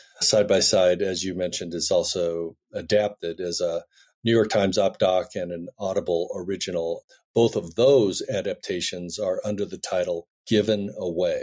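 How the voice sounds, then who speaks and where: A man with an American accent at a moderate pace on a very clean recording with a silent background. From US, Denver Colorado. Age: 60s. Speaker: filmmaker and adoptee. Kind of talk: podcast interview.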